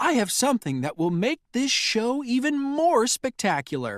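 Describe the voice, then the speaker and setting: This put-on character voice sits at a fairly high pitch. The recording is very clean, with a silent background. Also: moderate pace. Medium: read story.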